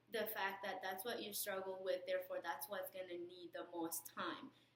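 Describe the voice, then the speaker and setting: Her medium pitch comes through as a woman speaks with a non-native accent. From outside US, moved in sixth grade. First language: not English. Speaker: nursing student, alumna. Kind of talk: recorded message with advice. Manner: hesitant, with fillers.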